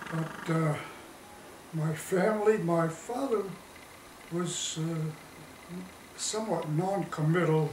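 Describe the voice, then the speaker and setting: A fairly high-pitched man is heard with audible room echo and noticeable background noise. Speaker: war veteran. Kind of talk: interview. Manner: halting.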